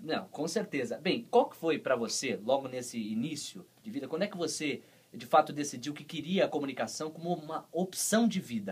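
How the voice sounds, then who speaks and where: Using an ordinary speaking voice, a man talks at a moderate pace with hardly any pauses, a fairly high pitch, lively intonation and big swings in loudness. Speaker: radio host. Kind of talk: radio interview host.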